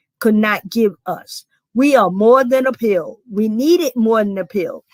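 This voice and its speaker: A woman with a South Carolina accent, fairly high pitch, ordinary pitch variation and a moderate pace, in a dry, close sound with no echo. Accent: Southern US, South Carolina. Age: 60s. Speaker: community organization founder. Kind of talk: panel discussion.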